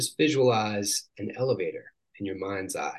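A man with an American accent, a plain, everyday voice, a fairly low pitch and a moderate pace. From Washington State. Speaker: life coach and healer. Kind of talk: guided visualization; casual interview.

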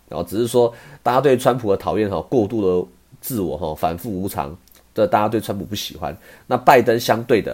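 A man with an ordinary speaking voice, fairly low in pitch, with lively intonation at a fairly quick pace, in a very clean recording with a silent background. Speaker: podcast host, stock commentator. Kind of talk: casual monologue.

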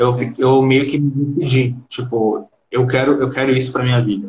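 Somewhat breathy, a man at a medium pitch talks at a moderate pace with ordinary pitch variation. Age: 20s. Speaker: digital marketing freelancer. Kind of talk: casual live-stream interview. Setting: video call from Brazil.

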